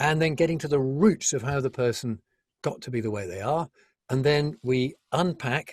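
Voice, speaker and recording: Recorded very clean with a silent background and a dry, close sound with no echo, a man at medium pitch speaks at a moderate pace, somewhat breathy, with lively intonation. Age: 70s. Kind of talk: interview.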